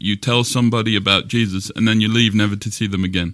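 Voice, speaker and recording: A man with an English accent speaks at a medium pitch in a bright, sharp tone. His intonation is fairly even, and the recording is very clean with a silent background. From England. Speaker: pastor. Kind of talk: casual conversation. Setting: office.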